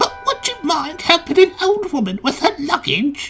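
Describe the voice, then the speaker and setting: A put-on character voice, squeaky and high, swings very widely in pitch at a moderate pace. Faint music plays in the background. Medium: read story. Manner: polite.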